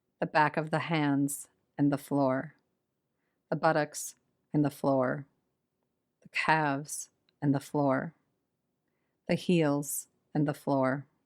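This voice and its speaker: In a very clean recording with a silent background, a woman speaks very slowly in a very deep, low pitch, with a calm, soothing tone, monotone, flat intonation, very even loudness and long, frequent pauses. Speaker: podcast host and meditation guide. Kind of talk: yoga nidra guided meditation. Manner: slow, calm, soothing, with long pauses.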